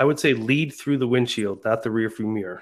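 A man with an American accent, an unremarkable speaking voice, medium pitch and ordinary pitch variation. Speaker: school district administrator. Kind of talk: podcast interview.

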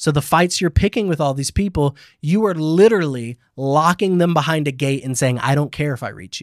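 A man with a plain, everyday voice speaks at a fairly quick pace and fairly high pitch, with ordinary pitch variation, in a dry, close sound with no echo on a very clean recording with a silent background. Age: 30s. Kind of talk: casual chat about faith. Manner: casual, rambling.

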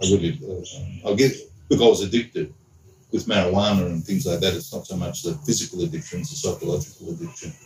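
In an Australian accent, a somewhat breathy voice races at a very fast pace through very wide pitch swings. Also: man, fairly low pitch for a man. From Sydney, Australia. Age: 50s. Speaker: deacon and school teacher. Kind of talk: casual interview chat.

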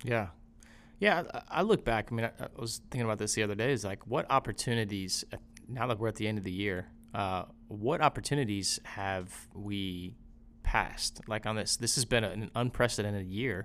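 On a very clean recording with a silent background, a man speaks in a plain, everyday voice at a moderate pace, fairly low in pitch with ordinary pitch variation. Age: 30s. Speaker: father of two. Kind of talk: casual chat.

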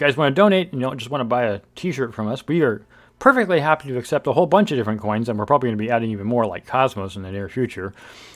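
A man with an American accent speaks at a very fast pace, his medium pitch carried by lively intonation. The recording is very clean, with a silent background. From Central California (Bakersfield). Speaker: podcast host. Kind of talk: casual chat.

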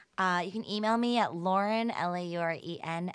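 Fairly low in pitch with ordinary variation, a woman with an American accent has an ordinary speaking voice, captured on a very clean recording with a silent background. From US South, Atlanta, Georgia. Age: 30s. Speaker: health tech startup founder. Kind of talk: casual interview.

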